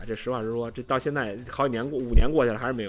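A man talking at a very fast pace, music in the background. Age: middle-aged. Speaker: football writer. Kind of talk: casual chat.

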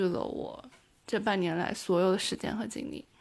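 Vocal fry runs through a woman's speech, delivered at a moderate pace with ordinary pitch variation. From China, Taiyuan, Shanxi. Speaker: overseas graduate student. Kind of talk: interview conversation.

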